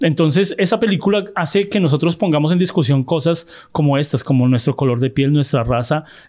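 This man talks at a fairly quick pace in a fairly high pitch, with ordinary pitch variation and very even loudness. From Colombia. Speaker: film podcast host. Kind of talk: casual chat.

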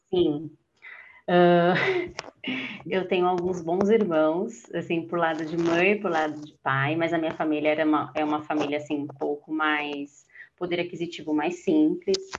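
A woman with a normal speaking voice, fairly low in pitch, at a fairly slow pace and with fairly even intonation. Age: 30s. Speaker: office worker and solo traveler. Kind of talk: casual interview chat.

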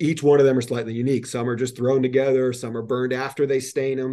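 Against a quiet background, a man with a New Jersey accent speaks at medium pitch in a dark, mellow tone. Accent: New Jersey American. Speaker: industrial manufacturing executive. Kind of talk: podcast interview.

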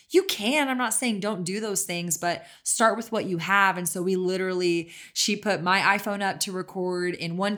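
A woman with an American accent and a normal speaking voice talks at a medium pitch and moderate pace on a very clean recording with a silent background. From Texas. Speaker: CBD company co-founder and podcast host. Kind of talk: casual interview.

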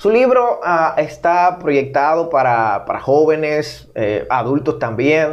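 This man talks at a very slow pace with hardly any pauses. His fairly high voice carries lively intonation. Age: 30s. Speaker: podcast host. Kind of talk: interview conversation.

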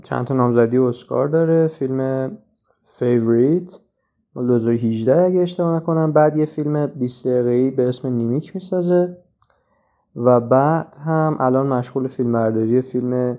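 At a moderate pace, a man speaks with a medium pitch, ordinary pitch variation and a dark, mellow tone. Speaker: podcast host, film reviewer. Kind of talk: solo film review monologue. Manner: halting, with many pauses.

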